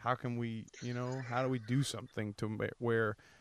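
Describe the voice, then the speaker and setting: Fairly quick, monotone speech from a man with flat intonation, in a dry, close sound with no echo. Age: 30s. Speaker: podcast host. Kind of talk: casual interview.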